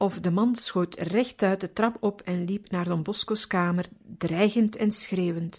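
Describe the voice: This is plain reading aloud. Its intonation stays fairly even.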